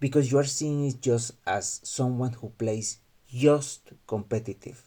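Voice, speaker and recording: A man with a Mexican accent speaks in a dark, mellow tone that is somewhat breathy. His intonation is fairly even. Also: medium pitch for a man. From Mexico. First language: Spanish. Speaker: gaming youtuber. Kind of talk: video commentary monologue. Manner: halting, with fillers and restarts.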